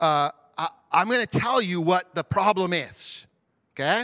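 Loud and bright with a sharp tone, a man speaks at a high pitch with lively intonation. His fairly slow delivery comes through dry and close, with no echo. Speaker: pastor. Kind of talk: sermon. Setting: church.

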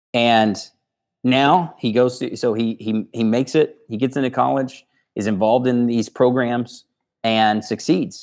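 A normal speaking voice from a man at medium pitch, fairly even intonation, on a very clean recording over a silent background. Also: fairly slow pace. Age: 30s. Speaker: leadership trainer and company co-founder. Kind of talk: interview.

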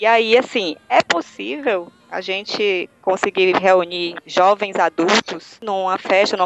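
A woman with a northeastern Brazilian accent speaks at a medium pitch with ordinary pitch variation amid noticeable background noise. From Northeast Brazil. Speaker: university professor. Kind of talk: casual panel discussion.

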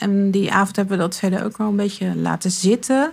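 A woman with a medium pitch talks at a moderate pace with ordinary pitch variation. The recording is very clean with a silent background. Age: 40s. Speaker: interviewee sharing coming-out story. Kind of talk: personal interview. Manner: halting.

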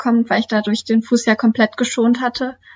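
At a moderate pace, a woman with a fairly high voice speaks in a flat monotone. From Lower Saxony, Germany (Duderstadt). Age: 20s. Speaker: trail runner and student. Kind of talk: interview.

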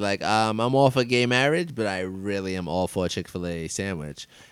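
Fairly quick, hardly pausing male speech in a fairly low pitch, with lively intonation and an American accent. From New York City. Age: 30s. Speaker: podcast host. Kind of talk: casual chat. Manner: animated, enthusiastic.

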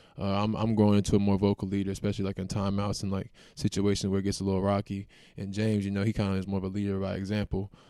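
A man with an American accent talks at a very fast pace in a fairly low pitch with a dark, mellow tone. The recording is very clean, with a silent background. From US South, Raleigh, North Carolina. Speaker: college basketball player. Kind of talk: interview.

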